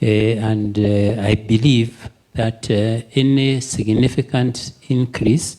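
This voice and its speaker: A man's medium-pitched voice at a very slow pace. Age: 70s. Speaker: accountant asking a question at a webinar. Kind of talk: audience question.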